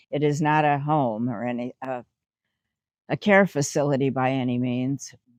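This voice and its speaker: A woman speaks in a dry, close sound with no echo. The background is quiet. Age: 70s. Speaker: retiree. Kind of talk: interview.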